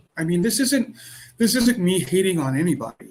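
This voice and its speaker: In an American accent, a man talks at a high pitch. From United States. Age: 60s. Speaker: podcast host. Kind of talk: casual monologue. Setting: home, music playing outside. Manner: halting, many repetitions.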